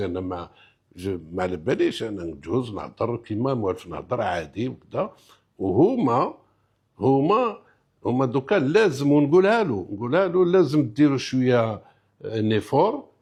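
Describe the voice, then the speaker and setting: Against a quiet background, a man with an Algerian accent speaks at a fairly slow pace. His pitch is medium but swings very widely. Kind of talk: interview answer mixing French.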